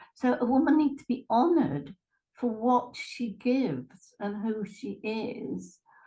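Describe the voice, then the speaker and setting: A woman with an East Midlands accent, high in pitch with a dark, mellow tone, at a fairly slow pace with lively intonation. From England, Lincolnshire. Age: 70s. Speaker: retired therapist and life coach. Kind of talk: interview.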